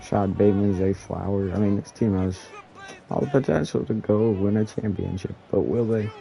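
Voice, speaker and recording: A man talks at a moderate pace and fairly low pitch, with fairly even intonation and long, frequent pauses. Crowd noise fills the background. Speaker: gaming streamer. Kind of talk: live game commentary. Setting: live stream. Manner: casual, with slips of the tongue.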